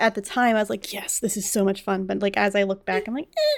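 On a very clean recording with a silent background, a woman with a plain, everyday voice and an American accent talks fairly quickly at a fairly high pitch. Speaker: podcast host. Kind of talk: casual chat.

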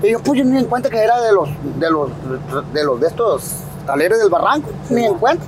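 Over noticeable background noise, this voice moves at a fairly quick pace with very wide pitch swings and very even loudness. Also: man, high pitch for a man. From Sinaloa, Mexico (El Dorado, raised in Culiacán). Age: 30s. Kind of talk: casual interview chat. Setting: outdoors on the street. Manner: halting, repetitive.

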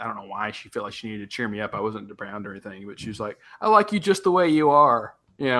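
The speaker has a Southern US accent and a bright, sharp tone. The delivery is very fast, with ordinary pitch variation. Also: man. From US South, West Tennessee. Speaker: podcast co-host. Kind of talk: casual chat.

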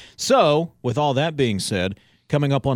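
In a dry, close sound with no echo, a man at medium pitch has a plain, everyday voice and lively intonation. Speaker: radio host.

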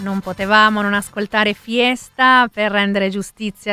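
Someone with a non-native accent talks at a moderate pace using fairly even intonation. The recording is very clean, and the background is silent. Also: woman. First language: not Italian (speaking Italian). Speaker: radio host. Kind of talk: radio music show. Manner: halting.

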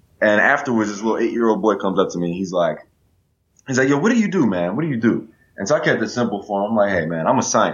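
With an American accent, a man speaks very fast at medium pitch, his voice making very wide pitch swings. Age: 20s. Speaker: STEM educator. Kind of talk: interview.

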